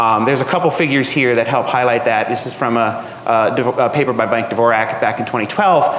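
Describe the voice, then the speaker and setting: A man with an American accent speaks at a fairly quick pace with hardly any pauses, his pitch medium and its variation ordinary. Noticeable background noise and audible room echo fill the recording. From New Jersey. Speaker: atmospheric scientist. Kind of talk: lecture. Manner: halting, many fillers.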